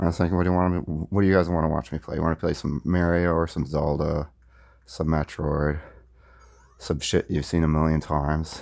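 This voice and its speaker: Soft-spoken and very deep in pitch, a man talks at a fairly quick pace in a monotone, flat intonation on a very clean recording with a silent background. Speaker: gaming YouTuber. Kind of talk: casual gameplay vlog. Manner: halting, repeats words.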